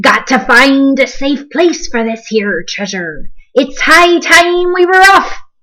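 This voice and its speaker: Putting on a character voice, a woman bellows loudly in a high pitch. She keeps to a fairly slow pace. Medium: read story. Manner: loud, bellowing pirate speech.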